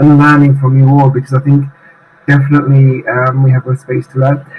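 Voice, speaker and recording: A man speaks with a British accent. His pitch is fairly high, and his pace is fairly quick. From UK. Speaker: UN staff association president. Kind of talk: interview conversation. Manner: halting, many fillers.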